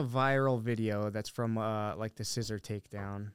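A man with an American accent speaks at a fairly slow pace and medium pitch. It is a normal speaking voice. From Montana, US (Billings). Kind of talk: casual chat.

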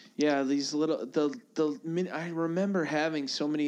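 A man speaks with a fairly high pitch. His tone is animated. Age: 30s. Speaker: podcast co-host. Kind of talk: casual chat. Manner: animated, laughing often.

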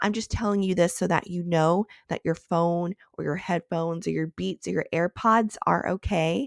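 In an American accent, a woman speaks at a moderate pace with a fairly low pitch, ordinary pitch variation and an upbeat, enthusiastic tone. The recording is very clean, with a silent background and a dry, close sound free of echo. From Texas. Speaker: podcast host. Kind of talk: casual interview conversation.

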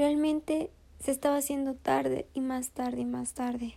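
A woman speaks at a high pitch with a dark, mellow tone. Her tone is sad and soothing. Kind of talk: bedtime story narration, gentle storytelling. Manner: soft, slow, soothing storyteller cadence; warmly emotional, sorrowful in sad moments.

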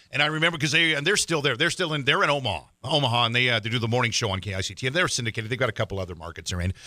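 Talking at a very fast pace with hardly any pauses, a man with a medium pitch and a bright, sharp tone swings his pitch very widely on a very clean recording with a silent background. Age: 50s. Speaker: podcast host and radio DJ. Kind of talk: casual chat.

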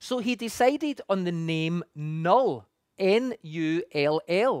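Someone with a Scottish accent is heard on a very clean recording against a silent background. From Scotland. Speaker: pastor. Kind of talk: sermon.

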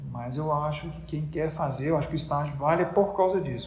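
There is audible echo in the room. Within it, a man talks at a moderate pace. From Brazil, Minas Gerais. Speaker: neurosurgeon. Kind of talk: interview.

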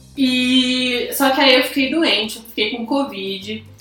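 Noticeable background noise runs through the clip. The room adds audible echo. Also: woman. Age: 20s. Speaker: podcast co-host. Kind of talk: casual chat.

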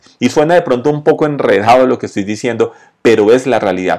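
An ordinary speaking voice belongs to a man at medium pitch. His intonation is lively. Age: 40s. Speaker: podcast host on entrepreneurship and sales. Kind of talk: motivational monologue with storytelling. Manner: conversational.

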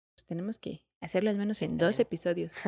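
At a very fast pace, a woman of medium pitch speaks in a very clean recording with a silent background and a dry, close sound with no echo. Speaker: podcast co-host. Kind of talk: casual chat.

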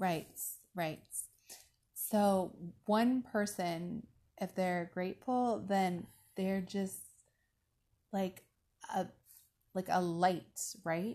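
Her pitch is medium, her tone dark and mellow, her intonation fairly even. The woman speaks at a very slow pace with long, frequent pauses. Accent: American. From Alaska, US Pacific Northwest. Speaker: life coach. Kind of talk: interview. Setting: outdoors at sunset.

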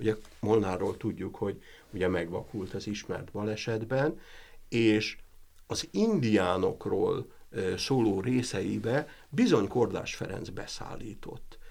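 A man's tone is dark and mellow. He speaks very slowly with lively intonation. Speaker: professor. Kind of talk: interview. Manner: halting.

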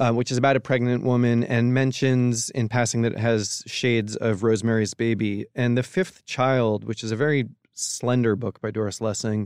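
The man has an unremarkable speaking voice. He keeps a medium pitch, moderate pace and fairly even intonation. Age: 40s. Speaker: book editor. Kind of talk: casual chat.

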